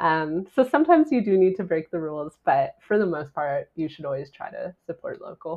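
Speaking at a fairly quick pace with hardly any pauses, a woman with a Canadian accent shows big swings in loudness. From Canada (Ontario). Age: 30s. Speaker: travel writer and podcaster. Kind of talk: casual interview.

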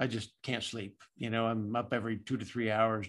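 An unremarkable speaking voice moves at a moderate pace on a very clean recording with a silent background. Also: man. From Southern California. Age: 50s. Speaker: general contractor and Air Force veteran. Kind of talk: casual interview.

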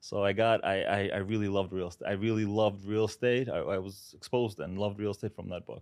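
Against a quiet background, a man with a New York accent talks very fast in a fairly low, monotone, flat voice, with hardly any pauses. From Brooklyn, New York; born in Uzbekistan. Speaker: real estate broker. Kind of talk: interview.

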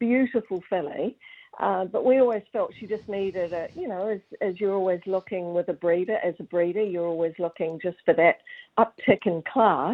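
With a southern New Zealand accent, a woman speaks at a moderate pace and a medium pitch. Her pitch variation is ordinary. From New Zealand, Southland (Gore). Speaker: racehorse breeder. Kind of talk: interview.

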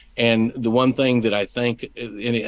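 A man speaks at a medium pitch with fairly even intonation against a quiet background. It is an ordinary speaking voice. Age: 60s. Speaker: lawyer and former state official. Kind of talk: interview.

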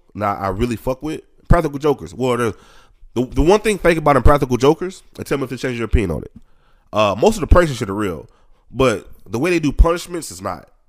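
Against a silent background in a very clean recording, a man with vocal fry talks very fast at medium pitch. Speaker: podcast co-host. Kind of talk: casual chat.

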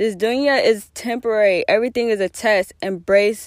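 At a moderate pace, a woman with a fairly high pitch and ordinary pitch variation talks in a normal speaking voice. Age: 20s. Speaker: podcast host. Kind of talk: solo advice monologue. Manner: casual.

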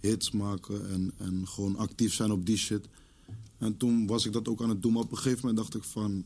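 The man has a dark, mellow tone and a fairly low pitch. He talks at a fairly quick pace in a monotone, flat intonation. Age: 20s. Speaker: rapper. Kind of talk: casual chat.

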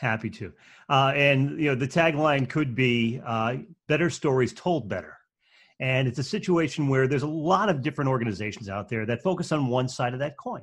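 A man at medium pitch with ordinary pitch variation, at a fairly quick pace. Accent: slight New England. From New England. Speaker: speaking and storytelling coach. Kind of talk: interview.

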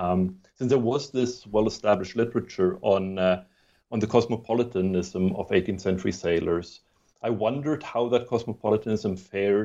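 This man has a dark, mellow tone and a fairly low pitch. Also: ordinary pitch variation, moderate pace. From southwest Germany, born in Sweden. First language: Swedish. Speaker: history professor and author. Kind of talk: interview. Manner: halting, with many fillers and repeated words.

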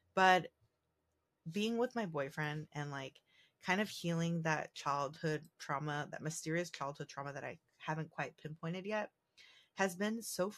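A normal speaking voice, a woman at a fairly low pitch speaks at a moderate pace with ordinary pitch variation on a very clean recording with a silent background. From San Diego, US, Mexican and Puerto Rican heritage. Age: 30s. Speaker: podcast host. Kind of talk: casual monologue. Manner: casual, many fillers.

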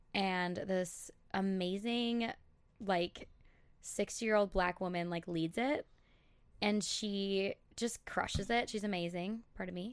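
Speaking at a very slow pace with long, frequent pauses, a woman uses an American accent and a medium pitch. Her intonation stays fairly even against a quiet background. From Minnesota, Elk River. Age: 20s. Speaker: instagram brand account manager. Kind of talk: casual chat.

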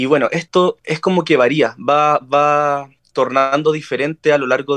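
A man with a Chilean accent talks at a moderate pace in a fairly high pitch. The sound is dry and close, with no echo. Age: 20s. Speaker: spiritual medium. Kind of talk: interview.

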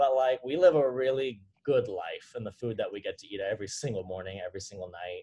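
A man's dark, mellow, somewhat breathy voice at a medium pitch runs at a fairly quick pace, its pitch varying in an ordinary way. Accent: American. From Southern California, Orange County. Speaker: CrossFit trainer and nutrition coach. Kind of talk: casual interview chat.

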